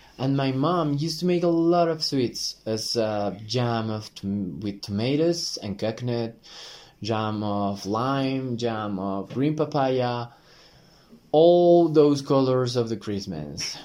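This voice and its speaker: A man with a Spanish accent, dark and mellow in tone, with lively intonation at a very slow pace. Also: medium pitch for a man. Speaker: hotel sales manager. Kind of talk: prepared monologue.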